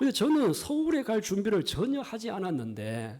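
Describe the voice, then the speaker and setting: This man has a strong Gyeongsang accent and a pitch that swings very widely. He talks at a moderate pace. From Gyeongsang region, South Korea. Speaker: pastor. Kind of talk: sermon.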